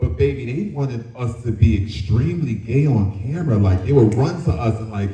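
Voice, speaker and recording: Lively intonation amid audible room echo and noticeable background noise. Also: man, fairly quick pace. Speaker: former dance crew member on a TV competition. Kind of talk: panel discussion.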